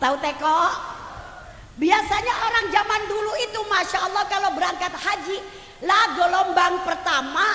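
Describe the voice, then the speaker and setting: A woman's animated, raised and projected voice, with audible room echo and noticeable background noise. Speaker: female Islamic preacher. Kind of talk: sermon.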